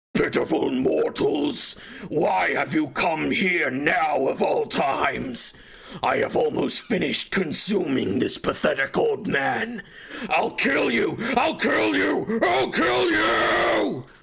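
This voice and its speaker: A man's bellowing, put-on character voice at a fairly slow pace, with light background noise. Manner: roaring, enraged, menacing.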